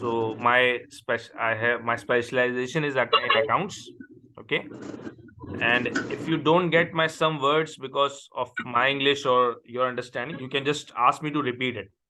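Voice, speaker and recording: A man with a Pakistani accent talks at a moderate pace in a medium pitch, his intonation fairly even, over noticeable background noise. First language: Urdu. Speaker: accounting tutor. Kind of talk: online tutoring session.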